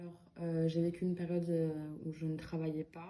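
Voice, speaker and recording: Speaking at a moderate pace, a woman uses a fairly low pitch, a dark, mellow tone and monotone, flat intonation. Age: 20s. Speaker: job-training participant. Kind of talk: testimony.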